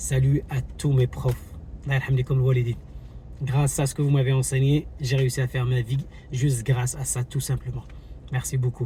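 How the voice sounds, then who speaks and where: He talks at a moderate pace, somewhat breathy, with long, frequent pauses. The man's intonation stays monotone and flat. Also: medium pitch for a man. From Morocco, Casablanca. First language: Moroccan Arabic (speaking French). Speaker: YouTuber, travel vlogger. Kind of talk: commentary vlog. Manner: hesitant, many fillers.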